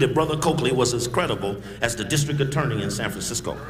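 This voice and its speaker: Audible room echo and noticeable background noise surround a man's voice. He talks at a fairly quick pace in an animated tone. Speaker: activist speaker. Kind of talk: public speech. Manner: fast.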